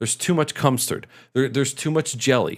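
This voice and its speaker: On a very clean recording with a silent background, a man talks very fast at a medium pitch, his tone animated and edged with vocal fry. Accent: American. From Michigan, US Midwest. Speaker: streamer. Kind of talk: casual live stream chat.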